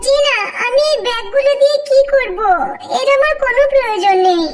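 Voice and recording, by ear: A woman's cartoonish character voice, extremely high pitch, moderate pace, very even loudness, clear background noise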